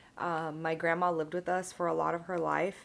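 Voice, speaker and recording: At a moderate pace, a woman talks in an ordinary speaking voice, fairly low in pitch, with fairly even intonation. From United States, Indian-American. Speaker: vlogger, pharmacist. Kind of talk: casual chat, get ready with me vlog.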